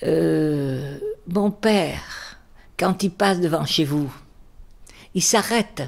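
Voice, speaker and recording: A woman speaks with very wide pitch swings. Her voice has vocal fry. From Bordeaux, raised in the Basque Country. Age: 80s+. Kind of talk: life-story interview answer.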